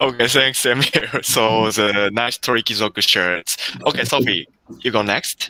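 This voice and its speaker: A man with a Japanese accent speaks in a bright, sharp tone with fairly even intonation, the sound dry and close with no echo. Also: medium pitch for a man, moderate pace. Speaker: workshop host. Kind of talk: live stream interview hosting. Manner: halting.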